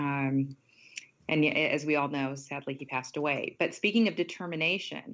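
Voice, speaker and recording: A woman with an American accent has a very deep, low pitch. She speaks at a moderate pace. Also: ordinary pitch variation. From India, raised in Washington state. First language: not English. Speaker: television news anchor. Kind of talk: interview.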